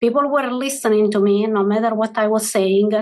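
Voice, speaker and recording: A woman speaks with a non-native accent. Her pitch varies in an ordinary way. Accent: foreign. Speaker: financial executive, panelist. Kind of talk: panel discussion.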